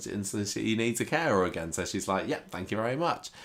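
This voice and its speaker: A fairly quick pace from a man in a British accent. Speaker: soap opera recap podcaster. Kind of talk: casual chat.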